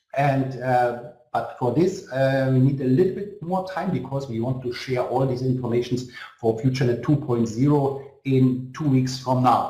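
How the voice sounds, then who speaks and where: Over audible room echo, a somewhat breathy man with a dark, mellow tone and medium pitch talks at a moderate pace with ordinary pitch variation. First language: German. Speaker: network marketing company executive. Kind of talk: motivational webinar. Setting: online webinar. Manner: halting.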